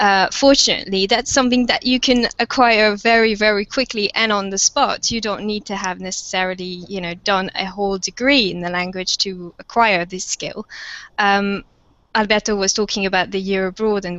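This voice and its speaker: In a French accent, a woman speaks at a moderate pace with medium pitch. Her intonation stays fairly even. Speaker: university lecturer of French. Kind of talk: panel webinar discussion. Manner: hesitant, many fillers.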